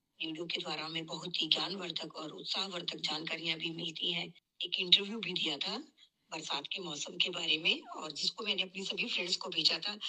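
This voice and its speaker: This woman has a normal speaking voice, pitched fairly low. She talks at a moderate pace with fairly even intonation. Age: 60s. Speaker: radio listener. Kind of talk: radio listener phone-in message.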